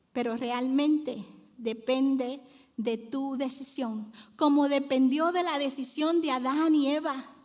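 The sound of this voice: Slow and high-pitched, a woman talks with fairly even intonation and a slightly mellow tone.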